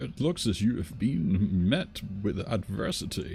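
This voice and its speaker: A man's put-on character voice, fairly low in pitch, with lively intonation at a fairly slow pace, over clear background noise. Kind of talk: archaic, formal, fantasy-style.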